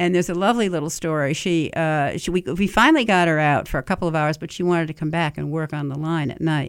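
A woman with a fairly low voice talks at a very fast pace with hardly any pauses and ordinary pitch variation, on a very clean recording with a silent background. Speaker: chef and restaurant owner. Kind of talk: radio interview.

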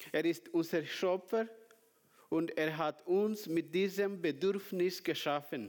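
Very slow in pace, a man speaks at a high pitch with very even loudness and ordinary pitch variation. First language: not German (speaking German). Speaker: preacher. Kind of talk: sermon. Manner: halting.

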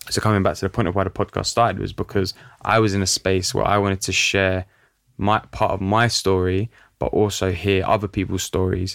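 With a London accent, a man talks at a fairly quick pace in a fairly low, flat monotone on a very clean recording with a silent background. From North London, Italian community. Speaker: podcast host. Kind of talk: interview. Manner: casual, filler-heavy.

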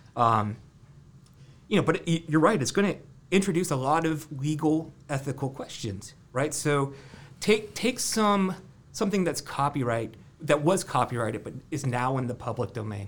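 Speaking at a moderate pace, a man with an American accent has a fairly high pitch, a somewhat breathy voice and lively intonation. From US Midwest, Ohio (Columbus area). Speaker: university lab director, tech researcher. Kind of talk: casual interview. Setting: studio office.

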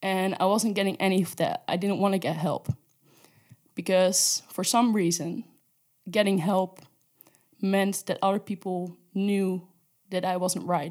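Her pace fairly slow, a woman with a Dutch accent speaks in a medium pitch with monotone, flat intonation. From Netherlands. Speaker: intern sharing personal story. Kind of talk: testimony.

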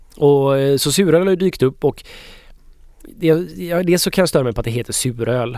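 With an unremarkable speaking voice, a man talks at a moderate pace and fairly high pitch, using lively intonation. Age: 30s. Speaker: beer expert co-host. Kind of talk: casual chat.

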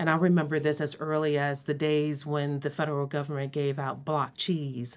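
A woman with an American accent and a very deep, low pitch talks in a monotone, flat intonation with hardly any pauses. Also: moderate pace, very clean recording, silent background. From US Midwest, Cleveland, Ohio. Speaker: public health executive. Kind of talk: interview.

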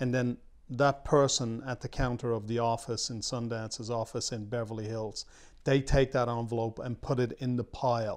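A medium-pitched man at a moderate pace with monotone, flat intonation, on a very clean recording with a silent background. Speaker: film producer. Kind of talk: interview.

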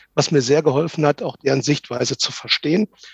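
A man's somewhat breathy voice, dry and close with no echo, over a quiet background. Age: 50s. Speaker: agile transformation coach. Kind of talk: interview.

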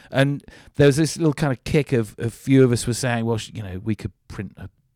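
In a very clean recording with a silent background and a dry, close sound with no echo, a man speaks at a moderate pace in a dark, mellow tone with ordinary pitch variation. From south-west England, Devon. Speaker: environmental campaigner. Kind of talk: interview conversation.

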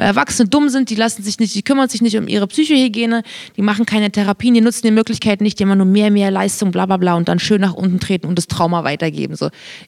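A woman speaks at a very fast pace in a medium pitch, her intonation lively and the sound dry and close with no echo. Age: 30s. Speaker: podcast co-host. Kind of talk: casual chat.

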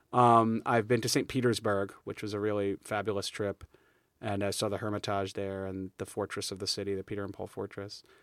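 A man with a New York accent talks at a very fast pace and a fairly low pitch, in a very clean recording with a silent background. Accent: New York area American. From New York state. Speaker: high school history teacher. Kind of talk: casual interview. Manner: energetic, animated.

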